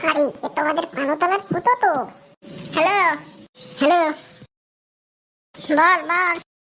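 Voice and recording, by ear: A woman's cartoonish character voice, extremely high-pitched, raised and projected, at a moderate pace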